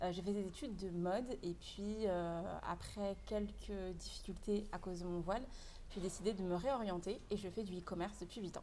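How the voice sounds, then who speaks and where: Audible room echo surrounds a woman of medium pitch. Her intonation is fairly even and her pace moderate. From France, Paris region. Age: 20s. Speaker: e-commerce entrepreneur. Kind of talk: casual interview.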